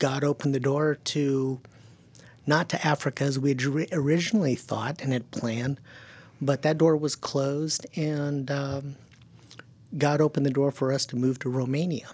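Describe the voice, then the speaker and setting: A man speaks at a moderate pace with a fairly high pitch and a flat, monotone delivery, leaving long, frequent pauses, on a very clean recording with a silent background. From California, German-speaking home. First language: German. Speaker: missionary to the deaf. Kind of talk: interview.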